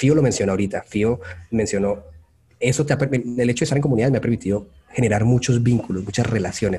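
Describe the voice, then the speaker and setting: A man's plain, everyday voice, medium in pitch with ordinary variation, at a fairly quick pace. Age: 30s. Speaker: UX designer. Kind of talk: interview.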